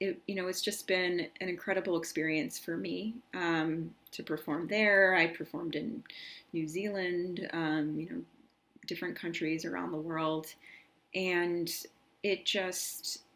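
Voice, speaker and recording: A woman with a fairly low pitch, a plain, everyday voice, ordinary pitch variation and a fairly slow pace. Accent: American. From United States, New York. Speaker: spoken word poet. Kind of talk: talk to camera about poetry. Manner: casual, conversational.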